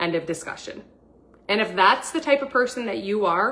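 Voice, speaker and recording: A woman speaks with lively intonation. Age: 40s. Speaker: wellness coach livestream host. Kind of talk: livestream sales pitch. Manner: animated; fast.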